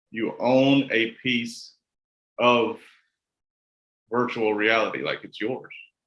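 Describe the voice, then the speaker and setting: In a Kentucky accent, a man with a medium-pitched voice speaks at a very slow pace, monotone and flat, with long, frequent pauses and big swings in loudness. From US South, rural Kentucky. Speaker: interviewer. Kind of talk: interview. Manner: casual, stammering.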